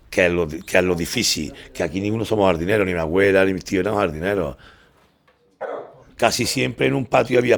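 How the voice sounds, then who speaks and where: Here is a man with an unremarkable speaking voice and a fairly low pitch. He talks at a fairly quick pace with ordinary pitch variation. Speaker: patio owner, construction worker. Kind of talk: casual guided tour.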